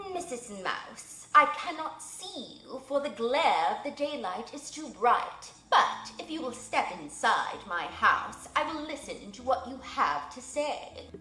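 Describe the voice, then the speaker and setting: A woman puts on a character voice, pitched high and delivered at a fairly slow pace. There is light background noise and a slight echo. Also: hardly any pauses. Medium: read story. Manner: formal, aloof.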